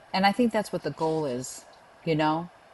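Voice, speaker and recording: A woman with a Boston accent talks at a fairly quick pace. Her voice is very deep and low, with ordinary pitch variation. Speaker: pest control association leader. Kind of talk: interview. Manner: casual, many fillers.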